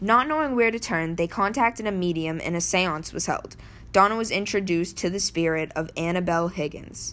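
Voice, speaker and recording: A woman speaks in a plain, everyday voice at a fairly low pitch with ordinary pitch variation. The recording is very clean, with a silent background. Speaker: paranormal podcast host. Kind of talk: true-crime horror narration, read-aloud storytelling. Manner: hushed, suspenseful, building dread.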